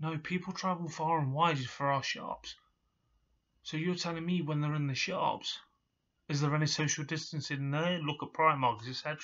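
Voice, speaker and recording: With an East Midlands accent, a man speaks at a moderate pace and with fairly even intonation. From England. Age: 30s. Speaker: hospitality worker and vlogger; vlogger. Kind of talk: personal vlog rant. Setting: at home in his room. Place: home room. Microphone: webcam.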